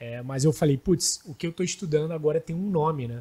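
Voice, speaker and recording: In a somewhat breathy voice, a man speaks at a fairly quick pace. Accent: Rio de Janeiro. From Rio de Janeiro, Brazil. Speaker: startup founder. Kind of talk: podcast panel chat. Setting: studio.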